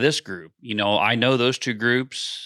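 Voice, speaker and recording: In a very clean recording with a silent background, a man with an American accent speaks at a fairly slow pace and medium pitch, his tone bright and sharp and his intonation fairly even. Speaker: farmer. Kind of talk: casual chat. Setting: hunting shack.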